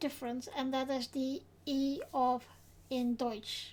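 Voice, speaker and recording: A woman talks at a high pitch. Her pace is very slow. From Netherlands. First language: Dutch. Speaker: vlogger. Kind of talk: casual explainer vlog. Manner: halting.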